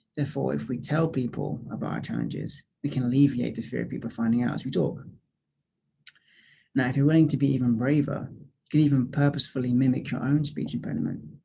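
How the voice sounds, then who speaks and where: A man talks at a very fast pace with vocal fry and a dark, mellow tone. His pitch is medium with ordinary variation. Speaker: graduate student clinician. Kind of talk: informational talk to camera.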